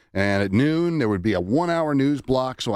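On a very clean recording with a silent background, a man speaks in an ordinary speaking voice, fairly quick and lively in intonation. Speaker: radio news director. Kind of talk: casual chat.

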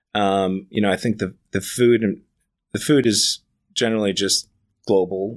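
A normal speaking voice from a man with an American accent, fairly low in pitch, fairly slow and fairly even in intonation, on a very clean recording with a silent background. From New York City, Manhattan Upper East Side. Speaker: executive chef. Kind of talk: casual interview.

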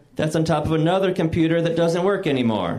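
A man with an American accent and a fairly high pitch speaks over noticeable background noise. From US Midwest. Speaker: stand-up comedian. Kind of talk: stand-up. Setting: stage with audience.

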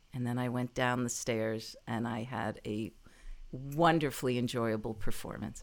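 A woman's very deep, low voice in an American accent, with fairly even intonation. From New Jersey. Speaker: actor, comedian and voice actor. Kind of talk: interview about career.

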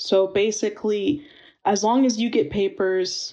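With an American accent, a woman speaks in a dark, mellow tone. Her pace is fairly slow and her intonation lively. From rural Northern Virginia. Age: 20s. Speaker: university student. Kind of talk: personal testimony. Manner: casual, many fillers.

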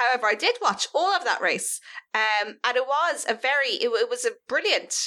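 On a very clean recording with a silent background, a woman with an Irish accent speaks in a bright, sharp tone. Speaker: podcast co-host. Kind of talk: casual chat.

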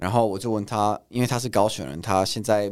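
Against a very clean recording with a silent background, a man talks at a fairly quick pace in a fairly low pitch with ordinary pitch variation. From Italy. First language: Italian (speaking Chinese). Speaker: content creator. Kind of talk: casual chat.

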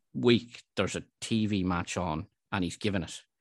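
The speaker has an Irish accent and talks at a moderate pace with ordinary pitch variation. The sound is dry and close with no echo, against a quiet background. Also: man. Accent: Irish (Louth). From Ireland, Dundalk (County Louth). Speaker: local sports journalist, podcast co-host. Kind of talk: casual football discussion.

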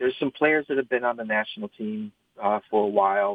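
The speaker is a man. He talks with a Midwestern American accent. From Michigan, East Lansing. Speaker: trading card product manager. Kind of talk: interview. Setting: video call.

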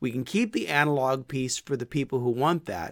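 Over a very clean recording with a silent background, a man talks in a normal speaking voice at a medium pitch, moderate pace and lively intonation. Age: 50s. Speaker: podcast host and small group ministry consultant. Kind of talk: teaching talk. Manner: casual, conversational.

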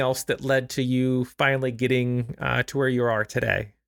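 With an ordinary speaking voice, a man talks at a moderate pace and a fairly high pitch. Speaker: podcast host. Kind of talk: interview.

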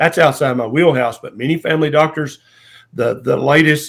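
Fairly quick and fairly even in intonation, a man with a Southern US accent speaks at a medium pitch. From US South. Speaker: family physician. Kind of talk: interview conversation.

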